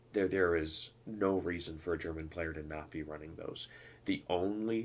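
A man's very deep, low voice, somewhat breathy. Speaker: gaming podcast host. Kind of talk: solo podcast monologue. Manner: stutter; animated.

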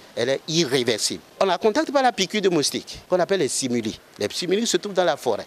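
A man speaks very fast in a high pitch, with very wide pitch swings. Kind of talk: interview answer. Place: garden. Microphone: handheld.

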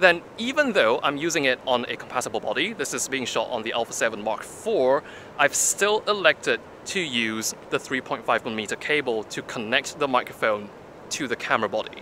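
A man talks with lively intonation, the sound dry with no echo and light background noise. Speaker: tech reviewer. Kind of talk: casual vlog review. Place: street.

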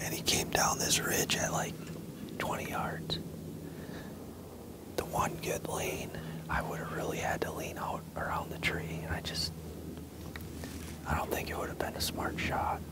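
Loud background noise surrounds a man who speaks with long, frequent pauses in a dry sound with no echo. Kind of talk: hushed hunting recap to camera. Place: forest.

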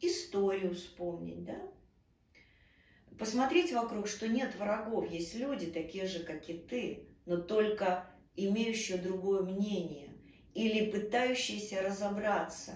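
A woman's very slow speech with long, frequent pauses, ordinary pitch variation and audible room echo. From Ukraine, Kyiv. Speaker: actress. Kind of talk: interview. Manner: animated. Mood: earnest, emotional. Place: home room.

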